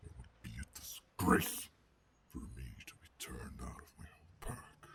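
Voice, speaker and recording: Growling in a put-on character voice, a man sounds gruff at a very deep, low pitch and a moderate pace. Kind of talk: ASMR roleplay. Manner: calm, menacing.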